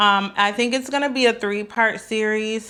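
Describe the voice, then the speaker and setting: Using monotone, flat intonation, a woman with an American accent speaks at a moderate pace. Her pitch is fairly high. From US Midwest (Wichita, Kansas; Saint Paul, Minnesota from age 10). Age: 30s. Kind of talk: casual personal vlog storytelling. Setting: sitting at home with coffee. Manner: hesitant, many fillers.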